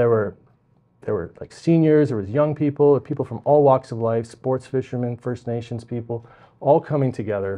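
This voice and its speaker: Keeping to a moderate pace, the man's pitch shifts in an ordinary way. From Vancouver Island, British Columbia, Canada; British Columbia, Canada. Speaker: provincial politician, election candidate. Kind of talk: interview. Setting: library. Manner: halting, many fillers and repetitions. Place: studio. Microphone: lapel.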